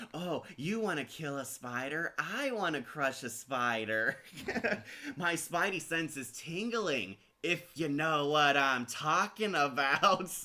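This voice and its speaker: A put-on character voice, whiny and nasal, with a whiny tone. It moves at a fairly slow pace. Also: man, fairly high pitch for a man. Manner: whiny, mocking.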